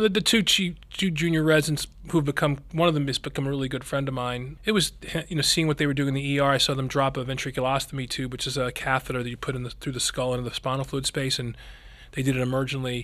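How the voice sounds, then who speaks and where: A man with an American accent talks at a very fast pace and a fairly high pitch. His pitch varies in an ordinary way, with noticeable background noise. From Philadelphia area, US. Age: 50s. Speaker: neurosurgeon. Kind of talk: interview.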